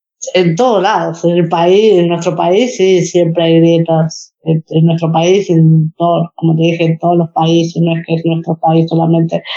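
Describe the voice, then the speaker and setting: Spoken in a Rioplatense accent at a fairly slow pace, the voice is monotone and flat, with very even loudness, hardly any pauses, and a dry, close sound with no echo. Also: woman, fairly low pitch for a woman. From Argentina. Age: 30s. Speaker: para-badminton athlete. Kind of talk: interview. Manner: halting, many fillers and repetitions.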